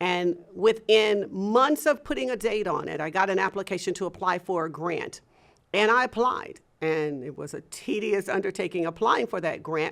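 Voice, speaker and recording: Here a woman has an unremarkable speaking voice at medium pitch. Her pace is moderate and her intonation lively. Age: 60s. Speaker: business coach and founder of entrepreneurship program. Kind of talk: interview.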